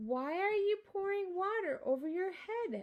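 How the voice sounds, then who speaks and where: A woman's put-on character voice, squeaky and extremely high in pitch, at a moderate pace. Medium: read story.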